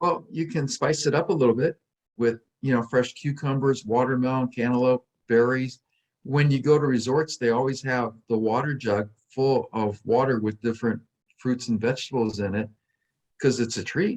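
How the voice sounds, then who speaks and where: A man in a normal speaking voice, medium in pitch, moderate in pace, with ordinary pitch variation. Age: 60s. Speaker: weight loss coach and author. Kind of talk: podcast interview.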